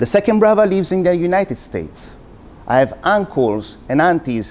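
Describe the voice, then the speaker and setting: Very wide pitch swings with an Italian accent. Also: man. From Italy. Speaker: university lecturer. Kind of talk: public talk.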